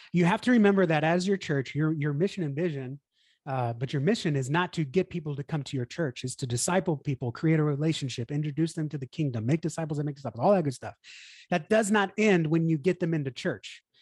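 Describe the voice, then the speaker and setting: A man with a Texan accent, fairly high pitch, ordinary pitch variation and a very fast pace, in a dry, close sound with no echo and a quiet background. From Texas, Houston. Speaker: church marketing consultant. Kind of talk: casual interview chat.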